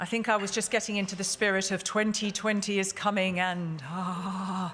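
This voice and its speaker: Through audible room echo, a woman speaks at a medium pitch in a monotone, flat intonation. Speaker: conference moderator. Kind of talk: panel moderation. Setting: conference hall with audience. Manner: fast.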